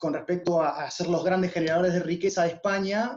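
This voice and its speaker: A high-pitched male voice at a moderate pace. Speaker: musician. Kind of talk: talk to students.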